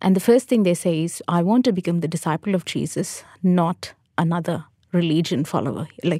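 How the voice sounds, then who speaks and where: A woman speaks with a fairly low pitch, a dark, mellow tone and ordinary pitch variation. Her voice is somewhat breathy, on a very clean recording with a silent background. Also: dry, close sound with no echo. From South India, Hyderabad. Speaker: Salvation Army officer. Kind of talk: casual chat. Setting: studio.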